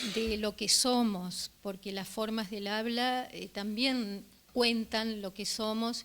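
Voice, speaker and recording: Fairly even intonation carries this delivery along at a very slow pace. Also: woman. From Uruguay (Río de la Plata). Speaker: journalist, book presenter. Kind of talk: public talk. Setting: live event with audience. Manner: hesitant, many fillers.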